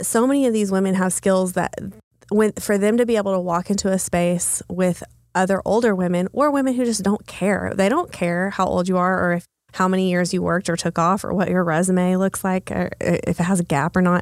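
A woman with an American accent talks at a fairly quick pace in a plain, everyday voice of medium pitch. Her intonation is fairly even, her loudness very even, and the recording very clean with a silent background. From Texas, small town. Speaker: coworking space founder. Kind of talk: podcast interview.

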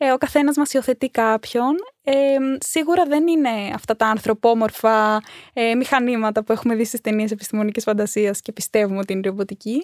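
A woman with a plain, everyday voice speaks at a fairly high pitch and a moderate pace, with ordinary pitch variation, in a very clean recording with a silent background and a dry, close sound with no echo. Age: 20s. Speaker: robotics coach. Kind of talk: interview.

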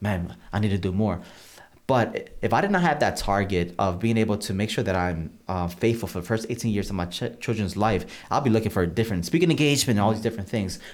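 A man talks in a normal speaking voice at a fairly low pitch. His pace is fairly quick, with ordinary pitch variation. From Massachusetts (Holyoke), born in Puerto Rico. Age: 40s. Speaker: pastor. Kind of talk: interview about personal faith story.

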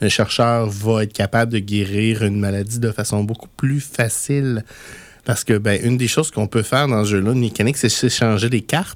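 A man with a Quebec accent, medium pitch, fairly even intonation, and a moderate pace. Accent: Québécois French. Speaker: board game radio show host. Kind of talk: casual radio chat.

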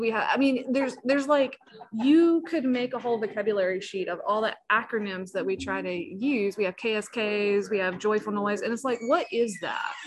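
A woman speaks at a fairly high pitch with ordinary pitch variation. It is a plain, everyday voice. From South Carolina (Walterboro). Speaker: pastor. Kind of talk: interview.

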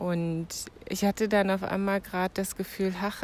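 The woman has an unremarkable speaking voice, medium in pitch with ordinary pitch variation. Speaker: podcast host. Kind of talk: casual monologue. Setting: outdoors.

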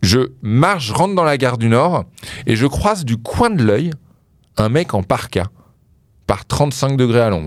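Pitch swings very widely as a man talks at a fairly slow pace. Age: 30s. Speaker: music specialist. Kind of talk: casual chat. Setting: studio.

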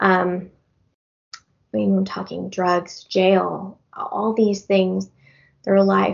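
With an American accent, a woman speaks at a very slow pace, leaving long, frequent pauses. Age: 40s. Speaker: county clerk. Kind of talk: personal testimony.

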